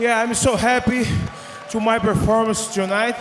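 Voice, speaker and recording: Over crowd noise in the background, a man with a high pitch speaks at a very slow pace. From Brazil. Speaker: MMA fighter. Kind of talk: post-fight interview. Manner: halting.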